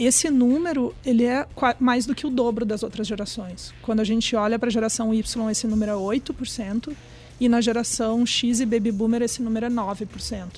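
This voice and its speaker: With a dark, mellow tone, a woman speaks at a moderate pace in a fairly high voice with fairly even intonation. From Brazil. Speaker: trend research executive. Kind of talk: casual interview. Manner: hesitant, many fillers.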